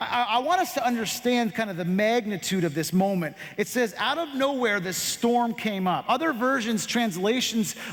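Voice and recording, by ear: The voice is natural. It is reading aloud.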